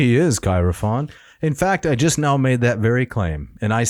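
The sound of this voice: This unforced reading voice has lively intonation.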